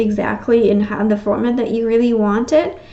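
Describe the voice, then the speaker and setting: This woman's voice sits fairly high in pitch, with monotone, flat intonation. Audible room echo surrounds her speech. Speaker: tarot reader. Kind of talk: tarot reading. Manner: fast; hesitant, many fillers.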